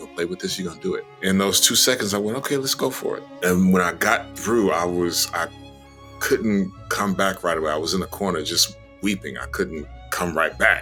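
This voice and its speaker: The speech moves at a fairly quick pace with lively intonation, and music plays in the background. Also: man, very deep, low pitch for a man. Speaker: voice actor. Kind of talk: interview answer.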